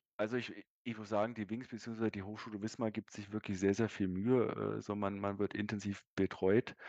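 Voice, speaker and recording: With a dry, close sound, no echo and a quiet background, a man with a fairly low voice speaks at a moderate pace in a monotone, flat delivery with hardly any pauses. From Berlin, Germany. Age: 30s. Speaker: sales manager and distance-learning graduate. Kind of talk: interview. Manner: hesitant, many fillers.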